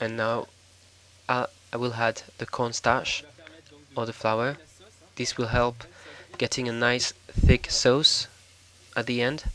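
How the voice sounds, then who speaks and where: A man with a French accent speaks at a very slow pace, medium in pitch, in a monotone, flat intonation broken by long, frequent pauses. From France. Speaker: cooking show host. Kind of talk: cooking tutorial voiceover. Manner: hesitant, with fillers.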